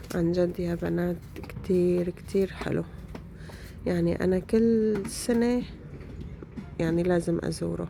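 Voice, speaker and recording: A woman talks at a fairly slow pace with long, frequent pauses. Noticeable background noise runs underneath. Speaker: vlogger. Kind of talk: casual vlog talk.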